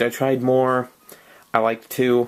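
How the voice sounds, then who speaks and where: A man of medium pitch, monotone and flat in intonation, at a fairly slow pace. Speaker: card game deck reviewer. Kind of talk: casual talk to camera. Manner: hesitant, stuttering, many fillers.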